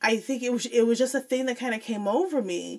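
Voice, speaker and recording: With a Midwestern US accent, a woman speaks at a fairly quick pace. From Joliet, Illinois. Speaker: former teacher, academic. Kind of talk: casual interview chat.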